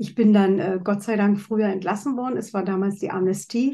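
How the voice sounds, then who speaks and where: Somewhat breathy, a woman talks in a dark, mellow tone at a moderate pace. Her intonation is fairly even. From East Germany. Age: 60s. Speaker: author and speaker, former palliative care nurse. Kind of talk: interview.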